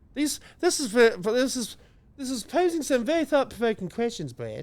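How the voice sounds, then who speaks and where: Spoken with a New Zealand accent at a fairly quick pace, this voice has lively intonation and comes from a very clean recording with a silent background. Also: man, extremely high pitch for a man. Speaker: comedy podcast co-host. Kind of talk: casual chat.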